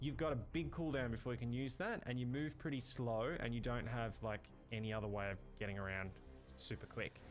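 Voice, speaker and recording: A man speaks at a fairly quick pace in an Australian accent. The room echo is audible. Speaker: gaming YouTuber. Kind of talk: gameplay commentary. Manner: casual, hesitant with fillers.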